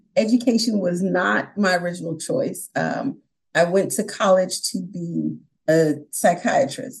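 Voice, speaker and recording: A woman with an American accent speaks at a fairly slow pace, her medium-pitched voice carrying lively intonation in a plain, everyday voice. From New York (Brooklyn, upstate). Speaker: online teacher. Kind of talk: interview.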